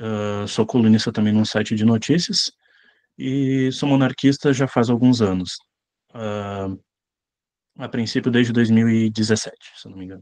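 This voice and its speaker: A man of medium pitch at a moderate pace, with ordinary pitch variation, long, frequent pauses, big swings in loudness and a quiet background. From southern Brazil, Rio Grande do Sul (São Sepé). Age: 20s. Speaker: lecturer and leader of a monarchist movement. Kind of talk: online lecture. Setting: video call. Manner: hesitant, frequent filler sounds.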